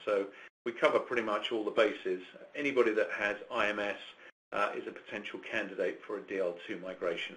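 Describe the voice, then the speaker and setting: Speaking fairly quickly, this is a man. He has an English accent. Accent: clear English. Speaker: business development director presenting. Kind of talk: webinar presentation. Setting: online webcast. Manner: halting, many fillers.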